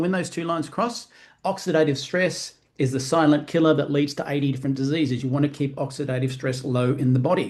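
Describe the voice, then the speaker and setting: In an Australian accent, a man speaks at a fairly quick pace with a fairly high pitch. His voice is somewhat breathy, with ordinary pitch variation. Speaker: network marketing presenter. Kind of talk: sales presentation. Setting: live online stream. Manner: fast.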